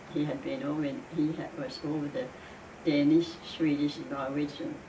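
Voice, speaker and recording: A woman's very deep, low voice, monotone and flat in intonation, at a moderate pace amid noticeable background noise. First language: Danish. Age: 80s+. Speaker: immigrant. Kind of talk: interview answer.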